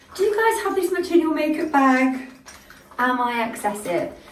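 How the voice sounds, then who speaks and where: A woman at a moderate pace with very wide pitch swings, audible room echo and music in the background. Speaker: make-up artist. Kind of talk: product review vlog.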